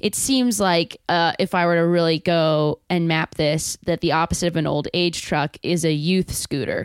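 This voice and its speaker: A woman with a fairly low pitch and an ordinary speaking voice talks at a moderate pace with ordinary pitch variation, very even loudness and hardly any pauses. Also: dry, close sound with no echo. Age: 30s. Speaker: actor and improviser. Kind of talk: casual chat.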